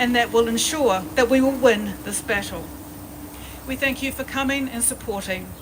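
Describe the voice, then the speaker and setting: With noticeable background noise behind her, a woman speaks in a New Zealand accent at a high pitch with fairly even intonation. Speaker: protest organiser. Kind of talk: protest speech. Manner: partly read aloud.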